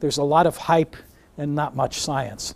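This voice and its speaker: A man talks with an American accent at a fairly high pitch. The recording is very clean, with a silent background. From New York. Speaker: neuroscience professor. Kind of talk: lecture.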